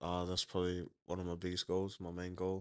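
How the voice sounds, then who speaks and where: Against a quiet background, a man with an Australian accent and a very deep, low pitch speaks with monotone, flat intonation. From Logan, south Brisbane, Queensland. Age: young. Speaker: rugby league player. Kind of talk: interview. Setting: studio. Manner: halting.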